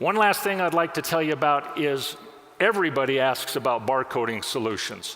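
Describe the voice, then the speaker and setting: A man's fairly high, lively voice at a fairly quick pace, with very even loudness, against noticeable background noise. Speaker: software product specialist. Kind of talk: conference product demo. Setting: stage with audience.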